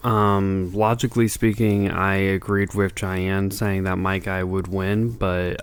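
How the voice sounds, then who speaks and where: Soft-spoken, fairly slow delivery with monotone, flat intonation. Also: man. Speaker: podcast co-host. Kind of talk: casual chat. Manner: soft-spoken, speaking quietly.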